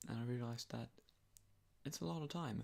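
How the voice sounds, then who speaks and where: Soft-spoken and somewhat breathy, a man talks at a medium pitch with lively intonation. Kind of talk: ASMR sleep talk. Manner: rambling, hesitant.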